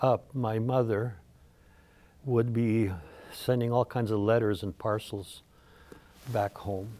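A man's dark, mellow tone with ordinary pitch variation at a moderate pace. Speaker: interview guest. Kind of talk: interview answer. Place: studio. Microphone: lapel.

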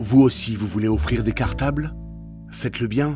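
Music plays in the background. Over it, a man speaks in a very deep, low voice. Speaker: voice-over artist. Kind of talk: charity appeal narration for animated clip.

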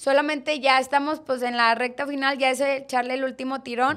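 Against a quiet background, a woman is talking. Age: 20s. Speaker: political candidate; candidate. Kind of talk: interview. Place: studio. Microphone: studio mic.

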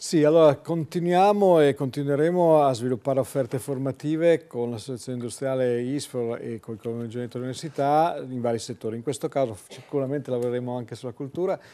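A man's medium-pitched voice at a very fast pace with hardly any pauses. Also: ordinary pitch variation. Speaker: university professor. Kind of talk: TV studio talk show. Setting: TV studio. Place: studio. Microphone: lapel.

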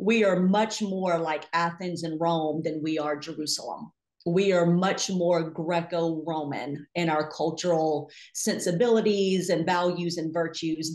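The speaker talks at a fairly slow pace with fairly even intonation. The background is quiet, though audible room echo is present. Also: woman. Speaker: podcast guest, Bible teacher. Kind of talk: interview answer. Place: home room. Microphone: video call.

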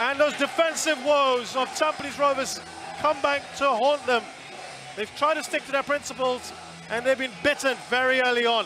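At a moderate pace, a man with an extremely high pitch uses a raised, projected voice and fairly even intonation over noticeable background noise. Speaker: football match commentator. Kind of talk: live sports commentary. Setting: stadium commentary. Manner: builds tension then erupts on goals.

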